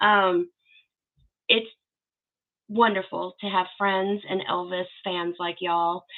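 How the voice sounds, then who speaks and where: A woman of medium pitch speaks at a fairly slow pace with monotone, flat intonation. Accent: Southern. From US South, Arkansas. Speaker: YouTube host, Elvis fan channel. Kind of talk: livestream Q and A chat. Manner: casual, chatty.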